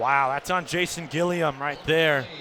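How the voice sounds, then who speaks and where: A man's fairly high, normal speaking voice, fairly even in intonation and fairly slow in pace. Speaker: sports play-by-play announcer. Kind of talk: college football radio play-by-play call.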